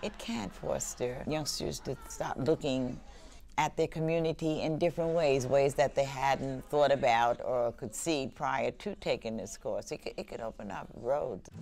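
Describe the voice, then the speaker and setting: A woman with a very deep, low pitch at a fairly slow pace. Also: ordinary pitch variation. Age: 70s. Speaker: senior community participant. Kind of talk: interview testimony.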